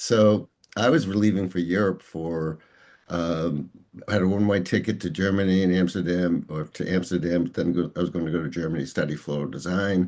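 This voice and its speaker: A man's very deep, low voice at a fairly quick pace, with ordinary pitch variation against a quiet background. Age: 60s. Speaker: executive coach and author. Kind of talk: interview. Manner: halting.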